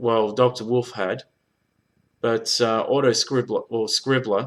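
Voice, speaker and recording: The speech comes at a fairly slow pace with monotone, flat intonation. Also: man, medium pitch for a man. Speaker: YouTube reviewer and blind reactor. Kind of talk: casual video response. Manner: stuttering.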